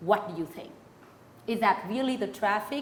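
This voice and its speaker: A woman's voice rises and falls in an ordinary way, and the room adds audible echo. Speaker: interview host. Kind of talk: interview.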